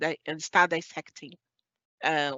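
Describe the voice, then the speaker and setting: This woman speaks with a strong Brazilian accent at a fairly slow pace. Her pitch is fairly low. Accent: thick Brazilian. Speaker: webinar moderator reading audience questions. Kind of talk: formal academic discussion. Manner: hesitant, with fillers and restarts.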